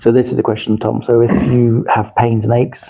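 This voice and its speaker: In a London accent, the voice is somewhat breathy, with a dark, mellow tone and a monotone, flat intonation. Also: man. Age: 60s. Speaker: martial arts coach. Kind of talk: podcast interview. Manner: hesitant, repeats words.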